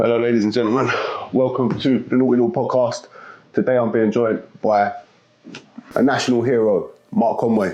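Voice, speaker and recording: A South London accent at a fairly quick pace, with long, frequent pauses and very even loudness, over noticeable background noise. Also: man, medium pitch for a man, ordinary pitch variation. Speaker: podcast host. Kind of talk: casual interview chat.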